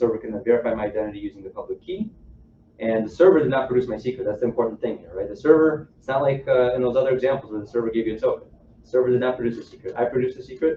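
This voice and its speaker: Talking at a very fast pace, a man with a medium pitch and ordinary pitch variation shows big swings in loudness. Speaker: software engineer giving a tech talk. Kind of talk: technical presentation to a live audience.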